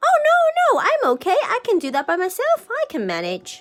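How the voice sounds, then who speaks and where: A woman puts on a squeaky character voice. She speaks at a moderate pace over faint music in the background. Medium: read story. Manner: bright, eager.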